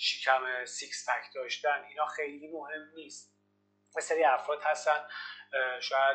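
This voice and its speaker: Music plays in the background as a man speaks at a moderate pace in a fairly high pitch. His intonation is fairly even, though his loudness swings widely. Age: 30s. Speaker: fitness coach. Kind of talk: interview.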